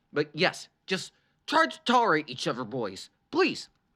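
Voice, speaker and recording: A put-on character voice from a woman, very deep and low, at a moderate pace, on a very clean recording with a silent background. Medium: read story. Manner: dry, sardonic.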